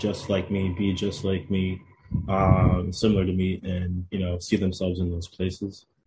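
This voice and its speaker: Monotone, flat intonation at a moderate pace, somewhat breathy, with an American accent. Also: man, quiet background. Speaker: town councilman. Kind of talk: radio interview.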